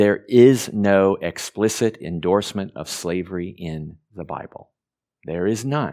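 A man with an American accent and a normal speaking voice, fairly low in pitch with ordinary pitch variation, at a fairly slow pace on a very clean recording with a silent background. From Oregon, US. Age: 50s. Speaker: pastor. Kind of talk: sermon. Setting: church.

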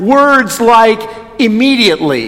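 A man speaks at a fairly slow pace in an Upper Midwest accent, with ordinary pitch variation. There is audible room echo and noticeable background noise. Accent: Upper Midwest American. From Wisconsin, Watertown. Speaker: Lutheran pastor. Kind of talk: sermon. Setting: church.

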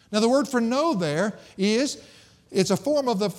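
On a very clean recording with a silent background, a man with a Southern US accent speaks at a moderate pace, his high pitch moving with lively intonation. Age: 50s. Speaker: pastor. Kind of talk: sermon.

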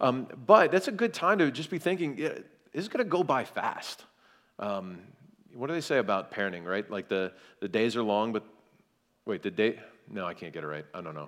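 At a fairly quick pace, a man with an American accent and a medium pitch speaks with very wide pitch swings and big shifts in loudness. He leaves long, frequent pauses. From US South, South Carolina. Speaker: pastor. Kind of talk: seminar talk.

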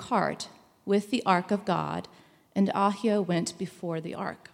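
A woman of medium pitch talks at a fairly slow pace in a normal speaking voice. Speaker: scripture reader. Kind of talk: scripture reading.

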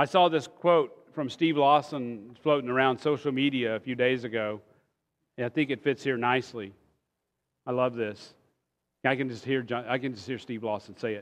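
A man at a moderate pace with ordinary pitch variation, over a quiet background. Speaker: preacher. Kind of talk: sermon.

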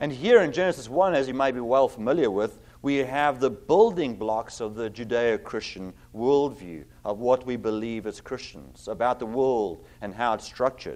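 A man talks at a moderate pace and medium pitch, with ordinary pitch variation, over a quiet background. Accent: South African. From South Africa. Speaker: pastor. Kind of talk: sermon. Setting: church.

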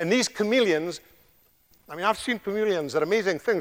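In a very clean recording with a silent background, a man with a Scottish accent speaks with lively intonation. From Scotland. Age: 60s. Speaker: visiting preacher. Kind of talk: sermon. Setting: church.

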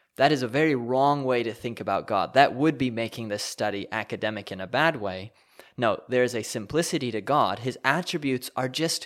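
In a very clean recording with a silent background, a man of medium pitch speaks in an unremarkable speaking voice at a moderate pace, with lively intonation. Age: 20s. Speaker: pastor. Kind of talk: teaching podcast.

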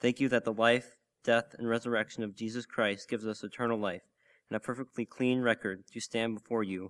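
At a fairly quick pace, a man speaks at a medium pitch in a monotone, flat intonation. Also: dry, close sound with no echo. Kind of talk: prayer. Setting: church.

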